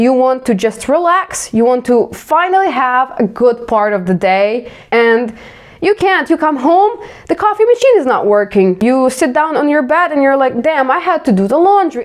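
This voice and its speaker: A woman with a Ukrainian accent speaks at a moderate pace in a high pitch, her loudness very even while her pitch swings very widely. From Ukraine. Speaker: vlogger. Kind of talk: casual self-reflective monologue.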